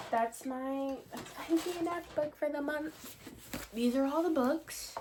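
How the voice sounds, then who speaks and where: A woman's voice over noticeable background noise. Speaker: book youtuber. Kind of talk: casual chat.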